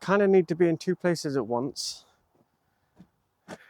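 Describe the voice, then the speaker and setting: The speech is mumbled. Its intonation is lively. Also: man, dry, close sound with no echo. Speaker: DIY hobbyist vlogger. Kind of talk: casual talk to camera while working. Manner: mumbling. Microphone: new mic on trial.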